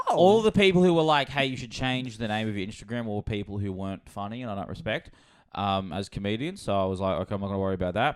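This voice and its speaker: A man speaks with an Australian accent. His voice is fairly low and his pace very fast. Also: lively intonation. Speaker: comedy podcast host; stand-up comedian. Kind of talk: casual chat. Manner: loud; animated.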